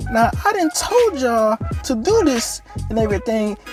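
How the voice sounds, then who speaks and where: A squeaky, female-sounding put-on character voice at a moderate pace, with clear music in the background. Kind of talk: informal. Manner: scolding, angry.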